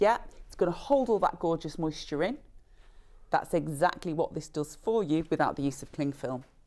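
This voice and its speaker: A woman with a northern English accent speaks at a moderate pace, her fairly low voice dark and mellow in tone. Her intonation is lively, and her loudness swings widely. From northern England. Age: 50s. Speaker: brand representative. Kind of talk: sales pitch.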